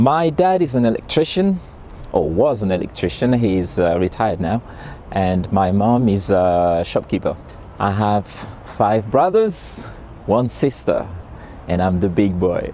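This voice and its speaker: Noticeable background noise sits behind a man with a Haitian accent, whose pitch is fairly low and whose intonation is lively. He moves at a fairly slow pace with long, frequent pauses and very even loudness. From Haiti (Port-au-Prince). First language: Haitian Creole. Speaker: interviewee, migrant. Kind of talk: interview testimony. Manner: halting, repeats words.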